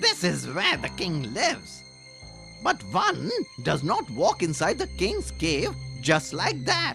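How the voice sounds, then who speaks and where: A cartoonish character voice speaks at a fairly slow pace. Clear music plays in the background. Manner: sly, smooth, overly polite.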